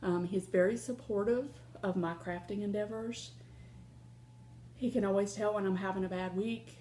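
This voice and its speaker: With a Southern US accent, a woman speaks at a moderate pace and a medium pitch. Her tone is dark and mellow, and her pitch varies in an ordinary way. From Ohio. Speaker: crafting vlogger. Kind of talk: casual vlog chat.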